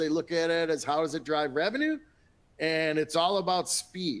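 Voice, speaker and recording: A man speaks in a Minnesotan accent at a fairly slow pace. His pitch is high, and his intonation is lively. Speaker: industry analyst. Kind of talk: webinar panel talk. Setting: webinar.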